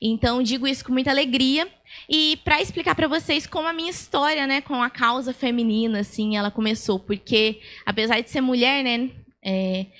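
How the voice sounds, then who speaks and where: A woman with a high pitch and ordinary pitch variation speaks at a moderate pace on a very clean recording with a silent background. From Brazil, São Paulo state (Itapira). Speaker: lawyer, speaker. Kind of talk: lecture. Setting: stage with audience.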